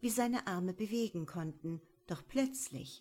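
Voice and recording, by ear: Here the speaker is reading aloud in a natural voice.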